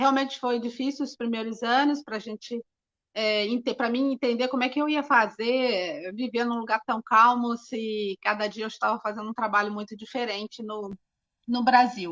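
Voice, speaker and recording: The speaker's intonation stays fairly even. The pace is moderate. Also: woman, fairly high pitch for a woman. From Brazil, Rio de Janeiro. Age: 60s. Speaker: architect and cultural association president. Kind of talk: interview. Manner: hesitant, many fillers.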